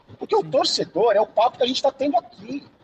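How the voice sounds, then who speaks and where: A man speaks in an animated tone at an extremely high pitch, with a dry, close sound and no echo. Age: 50s. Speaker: sports journalist and YouTuber. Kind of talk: casual chat. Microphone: unstable connection.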